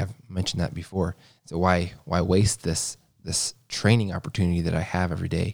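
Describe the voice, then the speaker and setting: A man speaks with an American accent. His voice is very deep and low, with fairly even intonation. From US Midwest (Missouri). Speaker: podcast co-host sharing faith testimony. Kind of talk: personal testimony. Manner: halting, many fillers and repetitions.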